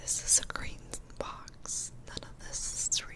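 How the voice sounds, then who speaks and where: A woman is whispering at a very slow pace. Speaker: livestreamer. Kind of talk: casual stream chat with viewers. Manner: soft close-mic ASMR murmur. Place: home room. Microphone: studio mic.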